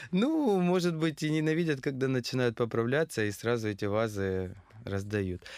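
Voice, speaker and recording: On a very clean recording with a silent background, a man at medium pitch talks at a moderate pace with very wide pitch swings and very even loudness. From Krasnodar, southern Russia. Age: 30s. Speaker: stylist and fashion designer. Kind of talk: casual interview.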